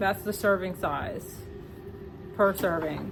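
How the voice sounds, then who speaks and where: Noticeable background noise sits behind a woman's medium-pitched voice with an American accent. She speaks at a moderate pace. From American West Indian. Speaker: vlogger and homemaker mother. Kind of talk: casual vlog chat.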